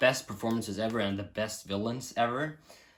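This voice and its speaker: Speaking at a fairly quick pace, a man with a Norwegian accent holds a medium pitch. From Norway. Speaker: film reviewer. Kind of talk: casual vlog review. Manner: animated.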